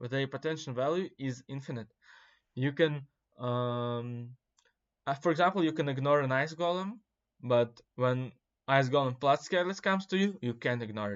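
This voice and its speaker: With a non-native accent, a man speaks at a moderate pace and a fairly high pitch, with ordinary pitch variation and long, frequent pauses. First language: not English. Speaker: gaming content creator. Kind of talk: casual commentary. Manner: hesitant, many fillers.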